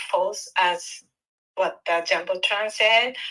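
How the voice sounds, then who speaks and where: A woman with a Japanese accent speaks at a very slow pace with fairly even intonation. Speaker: caller. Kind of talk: call-in question. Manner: halting, hesitant.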